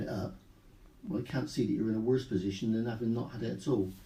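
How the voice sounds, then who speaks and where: A man's voice has a dark, mellow tone. Vocal fry runs through his speech. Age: 60s. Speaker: retired police officer and cancer patient. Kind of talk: radio interview. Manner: halting.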